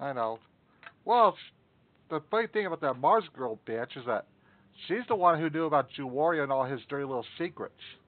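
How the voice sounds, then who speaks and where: Speaking at a fairly quick pace with long, frequent pauses, a man with a fairly high pitch makes very wide pitch swings. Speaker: streamer. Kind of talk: casual chat. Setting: live stream.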